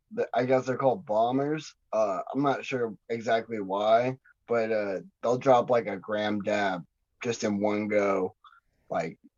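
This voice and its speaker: Speaking at a fairly slow pace, a man has an unremarkable speaking voice at medium pitch with ordinary pitch variation. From Montana, Kalispell. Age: 30s. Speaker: underground rapper. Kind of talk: casual chat.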